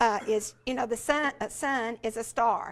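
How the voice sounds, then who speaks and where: In a Southern US accent, a woman speaks at a fairly high pitch with ordinary pitch variation on a very clean recording with a silent background. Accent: Southern US (Georgia). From US South, rural Georgia. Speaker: education specialist, former teacher. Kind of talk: conference talk. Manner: halting, many fillers.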